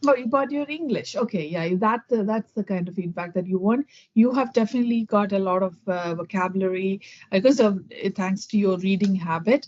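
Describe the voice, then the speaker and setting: A woman speaks with a Keralan accent. Her pace is fairly quick. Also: medium pitch for a woman, ordinary pitch variation. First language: Malayalam. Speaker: English conversation tutor. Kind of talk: casual chat with feedback. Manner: fast, talks without pauses.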